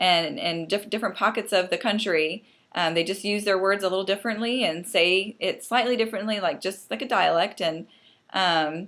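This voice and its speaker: A woman with a medium pitch and ordinary pitch variation speaks at a moderate pace on a very clean recording with a silent background. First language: Pennsylvania Dutch. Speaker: fiction author. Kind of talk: casual vlog talk. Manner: hesitant, many fillers.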